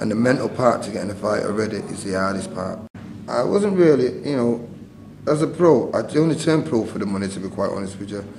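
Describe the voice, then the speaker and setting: A very fast voice in a Mancunian accent, with lively intonation, noticeable background noise, and audible room echo. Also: man, medium pitch for a man. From northern England, Manchester. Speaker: retired boxer and boxing trainer. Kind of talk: interview.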